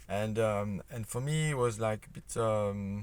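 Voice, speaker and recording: Fairly low in pitch, a man talks with a non-native accent. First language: not English. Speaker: independent creationist researcher. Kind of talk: explanatory video talk. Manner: halting, many fillers and repetitions.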